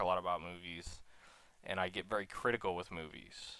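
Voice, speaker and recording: A man's very deep, low voice with a bright, sharp tone at a moderate pace. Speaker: YouTuber, college student. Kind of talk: personal vlog monologue. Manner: halting, stuttering.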